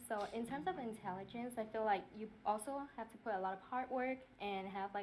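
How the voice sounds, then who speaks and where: A woman's fairly high voice with a Vietnamese accent. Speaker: game show contestant. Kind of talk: casual interview talk.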